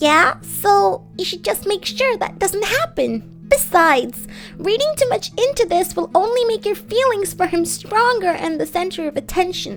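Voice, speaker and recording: A woman's put-on character voice at an extremely high pitch and a moderate pace, over clear music in the background. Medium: read story. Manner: soothing, kind.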